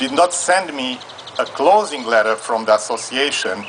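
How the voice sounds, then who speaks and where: A man speaks at a moderate pace with lively intonation in a Hungarian accent. Noticeable background noise runs underneath. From Transylvania, Romania. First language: Hungarian or Romanian. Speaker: audience member asking legal question. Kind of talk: live Q&A at event. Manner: halting.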